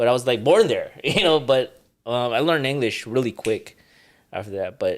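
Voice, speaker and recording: A man with a Hawaiian accent at medium pitch, lively intonation and a moderate pace, on a very clean recording with a silent background. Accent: Hawaiian American English. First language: Ilocano. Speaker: retired world champion boxer. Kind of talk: casual interview chat.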